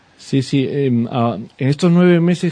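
With a dark, mellow tone, the man's voice sits at a medium pitch. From Peru. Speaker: artisan bakery owner. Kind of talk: radio interview. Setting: radio studio. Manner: halting, many repetitions and fillers.

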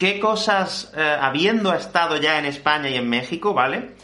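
A man speaks at a moderate pace in a high voice with a bright, sharp tone. Some room echo can be heard. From Spain. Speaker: Spanish teacher and podcast host. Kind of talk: interview podcast for language learners.

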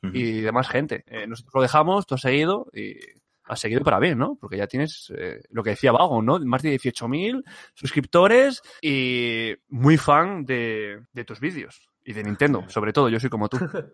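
A man with an ordinary speaking voice talks at a moderate pace and medium pitch, with lively intonation and big swings in loudness. The sound is dry and close with no echo, over a quiet background. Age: 20s. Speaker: podcast co-host. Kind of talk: casual chat.

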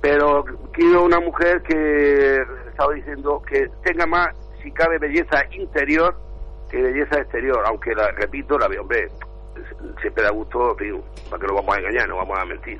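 Against noticeable background noise, a man talks at a moderate pace, leaving long, frequent pauses. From Spain. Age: 60s. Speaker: caller. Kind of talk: live phone-in.

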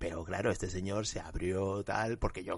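A man with a very deep, low voice speaks in a somewhat breathy way. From Spain, Huesca (Aragon). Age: 20s. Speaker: journalist and anti-racism activist. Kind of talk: interview.

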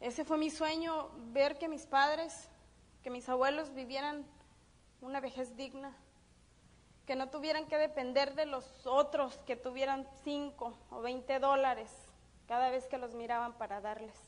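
A woman speaks in a high pitch with fairly even intonation and long, frequent pauses. Audible room echo surrounds her voice. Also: fairly slow pace. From Mexico, Durango. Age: 30s. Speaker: network marketing business speaker. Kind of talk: motivational seminar talk. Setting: stage with audience.

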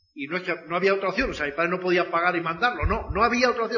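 Noticeable background noise surrounds a man talking at a very fast pace. His pitch is high, with ordinary variation. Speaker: network marketing speaker. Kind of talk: motivational talk.

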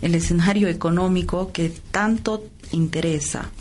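In a room with audible echo, a woman speaks at a fairly slow pace. Noticeable background noise is present too. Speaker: radio host. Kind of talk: radio interview. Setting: radio studio.

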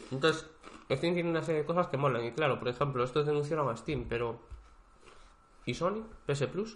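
A man with a fairly high pitch and a somewhat breathy voice speaks at a fairly quick pace, using ordinary pitch variation and long, frequent pauses. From Spain, Galicia (Vigo). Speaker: podcast co-host. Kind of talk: casual chat. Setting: co-host's home.

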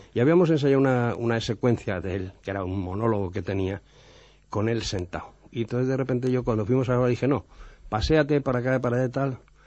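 With ordinary pitch variation and a medium pitch, a man speaks at a very fast pace. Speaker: TV director. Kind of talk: anecdotal radio chat. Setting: radio studio.

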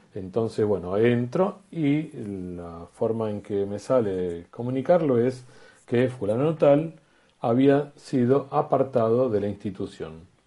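Intonation is lively over a dark, mellow tone. The delivery is very slow. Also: man, medium pitch for a man. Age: 60s. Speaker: school founder and teacher. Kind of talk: radio interview. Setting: video call.

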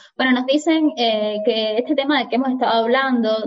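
A woman speaks at a moderate pace in a plain, everyday voice, with ordinary pitch variation. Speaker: editor and moderator. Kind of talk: moderating a live panel. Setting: video call.

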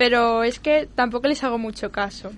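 In a quiet setting, a woman speaks at a moderate pace with a high pitch and ordinary pitch variation. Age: young. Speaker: youth radio show co-host. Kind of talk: casual chat.

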